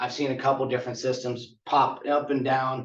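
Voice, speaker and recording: A man speaks at medium pitch and a moderate pace. It is a normal speaking voice. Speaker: conference presenter on tiny house building. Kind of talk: conference presentation.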